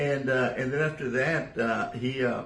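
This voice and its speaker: A South Texas accent at a moderate pace, with audible room echo. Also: man. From South Texas (Rio Grande Valley). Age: 70s. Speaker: gamefowl breeder. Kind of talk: interview. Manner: halting.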